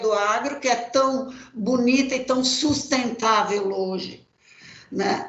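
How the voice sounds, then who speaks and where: A woman talks very slowly at a high pitch with ordinary pitch variation, her voice carrying audible room echo over noticeable background noise. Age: 60s. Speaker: farmer. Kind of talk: panel discussion.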